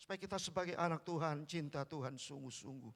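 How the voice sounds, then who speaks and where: A man is shouting at a moderate pace. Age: 60s. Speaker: pastor. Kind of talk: sermon. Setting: church.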